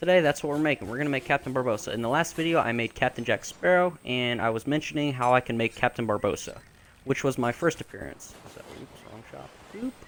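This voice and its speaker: Medium in pitch, a man's voice rattles along at a very fast pace. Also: ordinary pitch variation, big swings in loudness. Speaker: gaming youtuber. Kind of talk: tutorial. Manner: halting; improvised.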